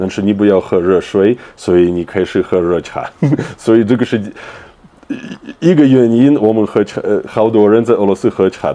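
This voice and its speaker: Over noticeable background noise, a man talks at a moderate pace and a fairly low pitch with ordinary pitch variation. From Russia. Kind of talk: interview answer.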